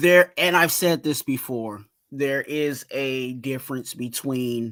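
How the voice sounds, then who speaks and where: The man has a bright, sharp tone at medium pitch. He speaks at a very slow pace. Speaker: sports fan show host. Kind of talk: casual sports talk livestream. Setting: live stream. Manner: slow, deliberate; halting, repeats words.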